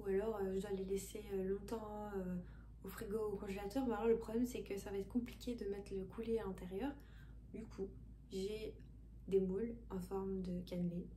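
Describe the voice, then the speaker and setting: A woman speaks at a moderate pace with long, frequent pauses, amid noticeable background noise and audible room echo. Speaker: cooking youtuber. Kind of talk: casual cooking tutorial. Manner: hesitant, many fillers. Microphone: poor sound quality.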